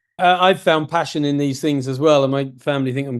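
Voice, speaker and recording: This man has a plain, everyday voice with fairly high pitch and fairly even intonation. The background is quiet. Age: 60s. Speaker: podcast host. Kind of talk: interview conversation.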